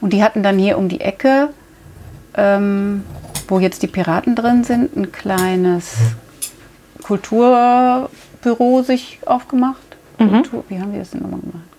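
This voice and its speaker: A woman's fairly high voice at a fairly slow pace, with ordinary pitch variation, big swings in loudness and long, frequent pauses. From Rhineland, Germany. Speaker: milliner, hat shop owner. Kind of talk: interview. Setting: in her hat shop.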